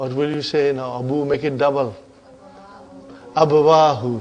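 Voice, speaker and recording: Audible room echo surrounds a man speaking at a fairly slow pace in a fairly high voice. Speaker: Arabic teacher. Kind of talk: lecture.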